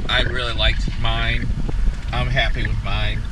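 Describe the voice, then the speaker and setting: A man talks at a very slow pace over loud background noise. The sound is dry, with no echo. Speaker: food reviewer. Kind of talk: casual vlog chat. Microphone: phone near.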